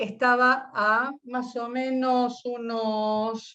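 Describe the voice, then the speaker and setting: A woman's high-pitched voice. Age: 60s. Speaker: physician. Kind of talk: interview testimony. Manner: halting, with self-corrections.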